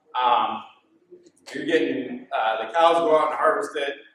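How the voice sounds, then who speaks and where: At a moderate tempo, a man talks with audible echo from the room. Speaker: dairy farmer. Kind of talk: conference talk.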